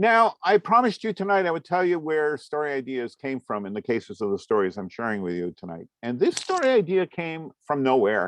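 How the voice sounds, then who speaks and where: Here a man with an American accent speaks at a fairly high pitch, his pitch swinging very widely. The pace is moderate and the sound is dry and close with no echo. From US Northeast, Vermont (Waterbury area). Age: 60s. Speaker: comics artist and lecturer. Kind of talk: lecture. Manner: conversational, with frequent fillers.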